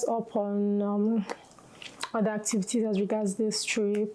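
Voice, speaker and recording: Over noticeable background noise, a woman speaks at a fairly slow pace with a fairly high pitch. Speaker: lifestyle vlogger. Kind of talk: casual vlog talk to camera. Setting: at home. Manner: slow, just woke up.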